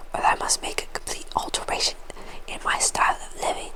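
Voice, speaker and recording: Over noticeable background noise, a woman whispers at a moderate pace in a soothing tone. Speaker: ASMR creator. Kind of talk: book narration, reading aloud. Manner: whispered, soothing, soft.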